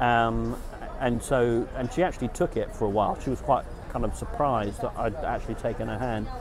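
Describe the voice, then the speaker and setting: A man at a fairly quick pace with noticeable background noise. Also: dry sound with no echo. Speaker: dating vlogger. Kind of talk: casual vlog chat. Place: garden. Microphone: lapel.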